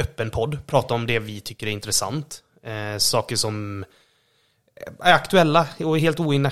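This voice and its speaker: A man with an unremarkable speaking voice talks at a fairly slow pace. His intonation is lively. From western Sweden, Borås. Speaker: podcast co-host. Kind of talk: casual chat. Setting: at home.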